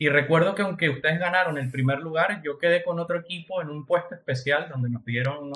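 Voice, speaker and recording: A man's fairly high voice at a very fast pace, with ordinary pitch variation and hardly any pauses. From Venezuela. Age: 20s. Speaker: entrepreneur. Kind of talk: casual chat.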